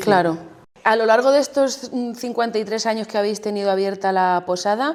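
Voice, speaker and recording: An unremarkable speaking voice from a woman, mid-pitched and moderately paced. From Campo de Montiel, Castilla-La Mancha, Spain. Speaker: podcast host and interviewer. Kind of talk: interview questions.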